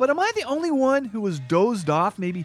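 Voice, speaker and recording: There is noticeable background noise behind this man. His pitch moves in very wide swings. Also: dry, close sound with no echo. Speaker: radio host. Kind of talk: comedic talk show interview. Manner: humorous, jokey, sarcastic.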